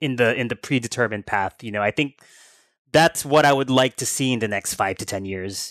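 Speaking with an American accent, a man uses an unremarkable speaking voice at a medium pitch and moderate pace with ordinary pitch variation, in a very clean recording with a silent background and a dry, close sound with no echo. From United States. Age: 30s. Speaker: author and game industry businessman. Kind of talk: casual interview.

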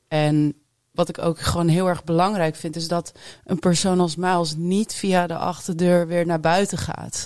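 Her voice sits fairly low in pitch. She delivers her words in a flat, monotone way. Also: fairly slow pace. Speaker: music venue marketer and DJ. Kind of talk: panel discussion. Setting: studio.

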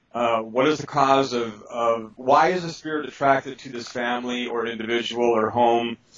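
A man talks with hardly any pauses and fairly even intonation, his loudness swinging a lot over noticeable background noise. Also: medium pitch for a man, moderate pace. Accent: American. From Milwaukee, Wisconsin, US Midwest. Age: 50s. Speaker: psychic spirit clearer and author. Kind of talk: interview. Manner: halting, many fillers.

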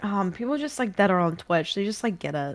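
A woman talks at a fairly quick pace with lively intonation. She has a slight New Zealand accent. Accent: mild New Zealand. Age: 20s. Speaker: video game streamer. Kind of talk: casual chat. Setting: video call.

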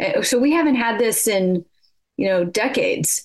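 Speaking with an American accent, a woman is heard. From California, US. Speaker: politics professor. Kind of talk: radio interview.

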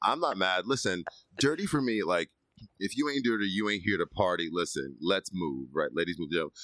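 A man's very deep, low voice, bright and sharp in tone, at a fairly quick pace with very wide pitch swings. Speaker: podcast co-host. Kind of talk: casual chat.

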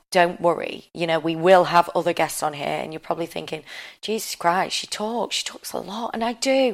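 A woman's fairly low voice carries vocal fry and ordinary pitch variation on a very clean recording with a silent background. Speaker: podcast host and founder. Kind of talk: casual chat, unscripted podcast intro. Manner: candid, oversharing.

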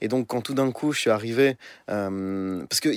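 A man at medium pitch and a very fast pace, ordinary pitch variation, dry and close sound with no echo, and a very clean recording with a silent background. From Belgium, Brussels. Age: 20s. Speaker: musician. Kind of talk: interview. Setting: studio in Paris. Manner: halting.

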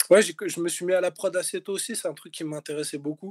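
A man speaks at a fairly slow pace with ordinary pitch variation. The sound is dry and close, with no echo. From north-eastern France, Lorraine mining town. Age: 40s. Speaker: rapper and music producer. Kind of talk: interview. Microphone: poor recording audio quality.

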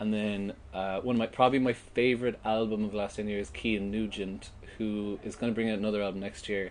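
A Cork accent drives this very fast delivery. The intonation stays monotone and flat. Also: man, fairly low pitch for a man. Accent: Cork Irish. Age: 30s. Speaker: festival organiser. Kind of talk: casual chat.

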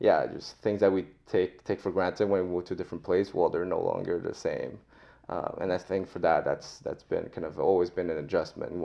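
Speaking with a Quebec accent, a man goes at a fairly quick pace. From Montreal, Quebec. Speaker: immigrant guest. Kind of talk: casual interview. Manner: halting.

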